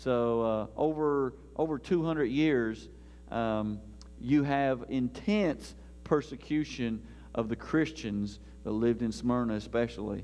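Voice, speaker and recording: Over music in the background, a man speaks at a very slow pace. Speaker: pastor. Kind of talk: sermon. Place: church.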